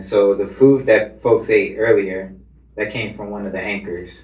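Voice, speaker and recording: A man at fairly low pitch and a moderate pace, in a monotone, flat intonation. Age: 30s. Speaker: cooperative founder and activist. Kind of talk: panel discussion. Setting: live recording in a venue.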